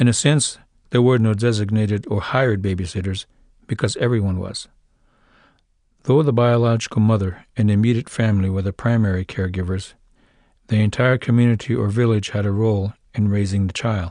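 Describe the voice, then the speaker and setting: With a Lakota accent, a man with a dark, mellow tone and a fairly low pitch speaks at a fairly quick pace with fairly even intonation against a quiet background. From South Dakota Lakota reservation. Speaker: author narrating his own book. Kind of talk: audiobook reading.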